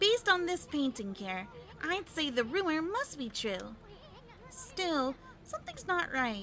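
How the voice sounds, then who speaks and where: A woman puts on a character voice, high in pitch with very wide pitch swings. She goes at a fairly slow pace over clear background noise. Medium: game stream. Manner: chatty.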